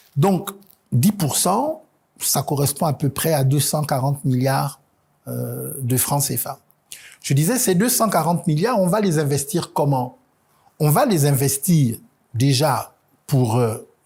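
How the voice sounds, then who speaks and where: A man's fairly high, dark, mellow, somewhat breathy voice at a very slow pace, with lively intonation, big swings in loudness, and long, frequent pauses. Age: 50s. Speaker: presidential candidate. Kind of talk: TV interview. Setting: TV studio. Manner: hesitant, many fillers.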